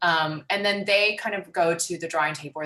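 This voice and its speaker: Her pace fairly quick, a woman speaks with ordinary pitch variation. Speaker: law clinic presenter. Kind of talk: training presentation. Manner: fast.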